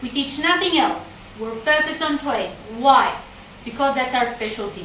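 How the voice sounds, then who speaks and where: A woman speaks at a high pitch. Audible room echo and noticeable background noise surround her voice. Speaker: college representative. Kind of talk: live stream chat.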